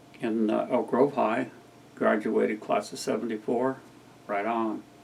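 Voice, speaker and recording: The man's fairly slow speech comes with noticeable background noise. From California (Sacramento area). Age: 60s. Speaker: vlogger. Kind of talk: casual monologue. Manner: relaxed, rambling.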